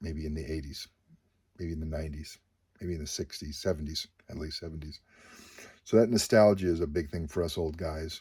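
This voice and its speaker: A man with a very deep, low pitch and a dark, mellow tone speaks at a fairly quick pace, with big swings in loudness and long, frequent pauses. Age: 50s. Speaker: comic book dealer and YouTuber. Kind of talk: casual monologue. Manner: halting, many fillers.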